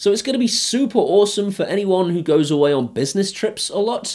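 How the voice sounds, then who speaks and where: Over a quiet background, a man with a high, dark, mellow voice talks fairly quickly with lively intonation. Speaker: tech reviewer. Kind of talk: casual vlog review. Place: home room.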